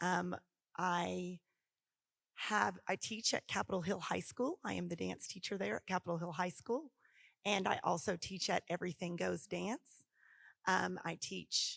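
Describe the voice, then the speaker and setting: A woman with an American accent speaks at a fairly slow pace, leaving long, frequent pauses. The sound is dry and close with no echo, on a very clean recording with a silent background. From Oklahoma. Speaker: dance teacher. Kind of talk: panel discussion.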